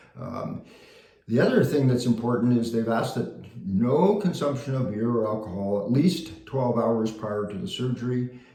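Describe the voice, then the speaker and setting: At a moderate pace and medium pitch, a man speaks with ordinary pitch variation in a room with audible echo. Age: 70s. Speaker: vlogger sharing surgery experience. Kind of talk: casual video diary. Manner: halting with many fillers.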